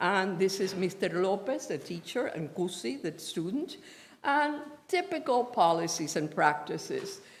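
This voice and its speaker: A woman with a Spanish accent talks at a fairly slow pace with very wide pitch swings. Noticeable background noise and audible room echo surround her voice. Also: medium pitch for a woman. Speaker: professor. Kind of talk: lecture.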